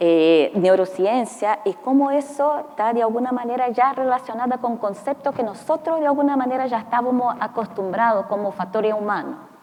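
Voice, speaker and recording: Through noticeable background noise, a speaker with a non-native accent talks at a moderate pace with hardly any pauses. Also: woman, high pitch for a woman, ordinary pitch variation. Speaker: mining company safety executive. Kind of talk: panel discussion. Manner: halting.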